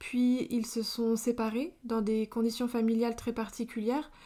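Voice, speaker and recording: At a moderate pace, a woman talks in a fairly high pitch with a dark, mellow tone. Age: 20s. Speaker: podcast host. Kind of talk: personal testimony. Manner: hesitant, many fillers.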